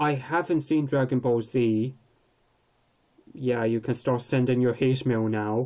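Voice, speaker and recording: Long, frequent pauses with fairly even intonation. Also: man, medium pitch for a man. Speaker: anime video commentator. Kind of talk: opinion vlog monologue. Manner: hesitant, many fillers.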